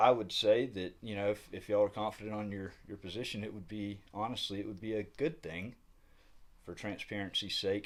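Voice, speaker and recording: With a Southern US accent, a man speaks at a moderate pace in a fairly low voice with fairly even intonation. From US South. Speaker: independent news reporter. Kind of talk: on-the-spot interview. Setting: county administrative building. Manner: halting, many fillers.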